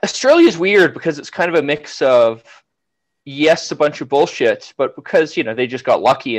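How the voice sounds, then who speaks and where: An ordinary speaking voice at a moderate pace with ordinary pitch variation over a quiet background. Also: man. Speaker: engineer; guest. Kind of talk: casual chat. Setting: video call. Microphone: video call.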